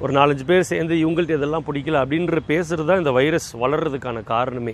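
A man's voice, fairly high in pitch. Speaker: motivational speaker. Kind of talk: motivational talk. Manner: conversational, colloquial.

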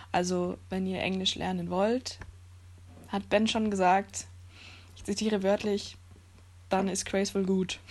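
A woman speaks with big swings in loudness and long, frequent pauses. The background is quiet. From Germany. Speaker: podcast guest. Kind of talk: casual chat.

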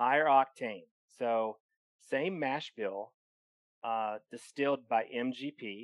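At a very slow pace with long, frequent pauses, a man talks in a medium pitch with ordinary pitch variation, the sound dry and close with no echo. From eastern Kentucky. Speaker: podcast host. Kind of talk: casual chat.

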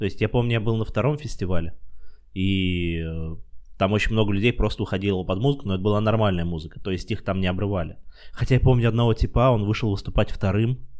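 A man races along very fast, his fairly low voice showing ordinary pitch variation. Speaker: podcast host and stand-up comedian. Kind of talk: casual chat.

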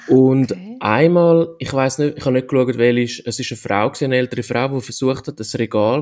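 With ordinary pitch variation, the speech moves along at a fairly quick pace. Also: man. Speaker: podcast host. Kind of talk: casual chat.

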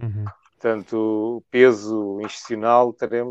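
A man speaks in a monotone, flat delivery at a fairly low pitch. The sound is dry and close with no echo, over a quiet background. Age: 50s. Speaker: trade unionist. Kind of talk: interview.

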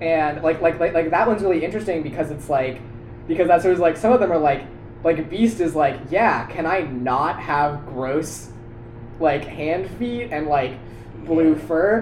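Over noticeable background noise, a man with a fairly high pitch talks at a moderate pace with ordinary pitch variation. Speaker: college student podcast co-host. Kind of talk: casual chat.

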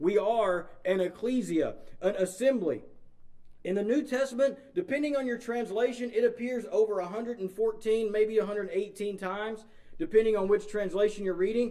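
With an East Texas accent, a man speaks at a moderate pace in a high pitch, using ordinary pitch variation and a dark, mellow tone. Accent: East Texas Southern US. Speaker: pastor. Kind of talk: sermon. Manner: informal, conversational, filler-heavy.

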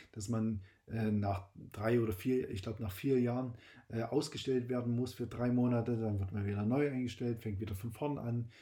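With a dark, mellow tone and a medium pitch, a man speaks in a somewhat breathy voice. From Saxony, eastern Germany. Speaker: podcast host, insurance broker. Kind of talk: personal monologue. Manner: hesitant with fillers.

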